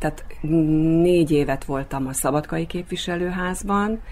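Over noticeable background noise, a woman speaks at a fairly slow pace in a very deep, low pitch. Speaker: actress and local politician. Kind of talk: radio interview.

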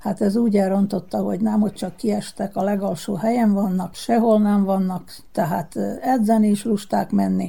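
This woman has a medium-pitched, unremarkable speaking voice. She talks at a fairly slow pace. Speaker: former world champion bowler. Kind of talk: radio interview.

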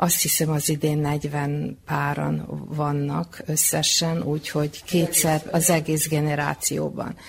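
Very slow speech with hardly any pauses over noticeable background noise. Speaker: retired school principal. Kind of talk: radio interview. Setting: community hall.

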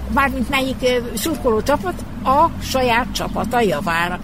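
Heard with audible room echo and noticeable background noise, a woman speaks at a high pitch. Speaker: retired children's radio editor. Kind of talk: reminiscing interview. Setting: outdoors in front of a building.

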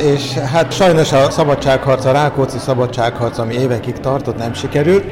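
Over noticeable background noise, a man talks at a medium pitch. His intonation stays fairly even. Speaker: tárogató player. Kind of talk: interview answers.

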